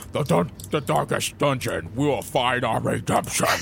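A put-on character voice moves at a fairly slow pace. Clear background noise runs underneath. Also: man, medium pitch for a man. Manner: dramatic, brooding.

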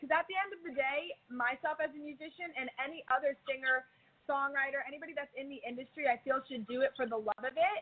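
A woman with an American accent, high in pitch, at a very fast pace, with ordinary pitch variation and big swings in loudness. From New Jersey. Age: 20s. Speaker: singer. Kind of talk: casual interview.

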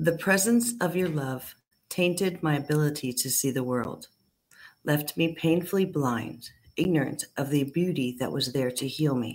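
A woman with a very deep, low pitch speaks with lively intonation. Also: moderate pace. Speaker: amateur poet. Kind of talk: poetry reading. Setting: video call.

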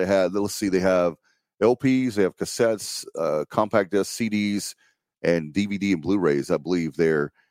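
In a dry, close sound with no echo and a very clean, silent background, a man with an unremarkable speaking voice speaks at a moderate pace in a fairly low pitch with ordinary pitch variation. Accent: American. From eastern North Carolina. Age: 50s. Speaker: podcast host and local political candidate. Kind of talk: campaign livestream monologue.

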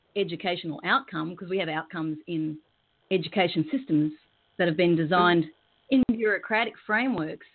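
A woman with an Australian accent speaks with very wide pitch swings. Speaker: professional clown and peace educator. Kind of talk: interview on spiritual radio show. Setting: remote computer link from Australia.

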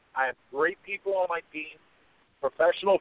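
A man with a Philadelphia accent talks at a moderate pace. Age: 50s. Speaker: competitive eater and memoir author. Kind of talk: radio interview.

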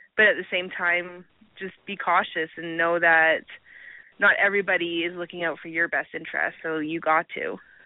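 A woman speaks at a moderate pace with a western Canadian accent. Her intonation is monotone and flat. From Canada, Alberta. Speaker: adult film performer. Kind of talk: casual interview.

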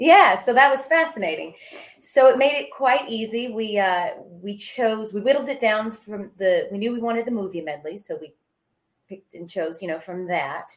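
An unremarkable speaking voice with an American accent moves at a moderate pace, using lively intonation and big swings in loudness. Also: woman, fairly high pitch for a woman. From US South, small-town Georgia. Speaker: singer. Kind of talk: casual chat.

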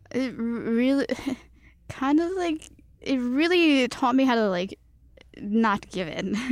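A woman's high-pitched voice in a Cantonese accent, with lively intonation, a very slow pace and long, frequent pauses. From Chicago, US. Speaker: guest. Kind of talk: casual chat.

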